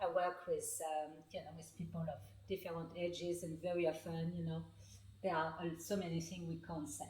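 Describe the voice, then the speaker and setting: In a French accent, a woman speaks at a moderate pace with a fairly low pitch, ordinary pitch variation and vocal fry, and audible room echo surrounds her. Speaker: author and healing practitioner. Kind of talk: interview. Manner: halting, many fillers.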